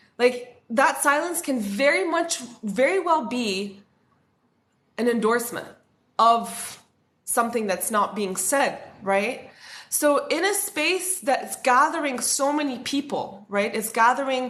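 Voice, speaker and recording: A fairly slow pace and lively intonation, with audible room echo. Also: woman, high pitch for a woman. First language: French. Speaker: spiritual content creator. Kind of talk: livestream talk. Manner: casual, filler-heavy.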